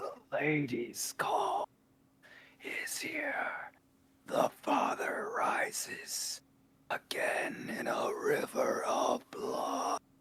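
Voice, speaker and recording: In a raspy put-on character voice at an extremely high pitch, the speaker goes very slowly, with long, frequent pauses. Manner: creepy.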